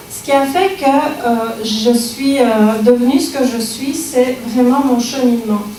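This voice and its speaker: At a very slow pace, a woman with a slight Belgian accent speaks in a high pitch with fairly even intonation. Audible room echo and noticeable background noise fill the recording. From Belgium. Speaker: speaker on personal growth. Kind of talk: public talk. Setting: library lecture with audience. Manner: hesitant, many fillers.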